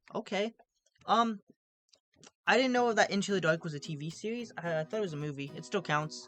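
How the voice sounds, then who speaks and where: Music plays behind a woman who talks at a fairly quick pace and medium pitch, her pitch swinging very widely and her loudness varying a lot, with long, frequent pauses. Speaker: YouTuber reviewing horror movies. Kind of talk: casual vlog review. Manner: fast; casual, filler-heavy.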